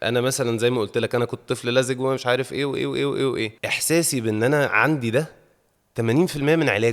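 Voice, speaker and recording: Here a man speaks at a very fast pace in an Egyptian accent. His voice sits at a medium pitch. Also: ordinary pitch variation. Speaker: actor. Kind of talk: interview.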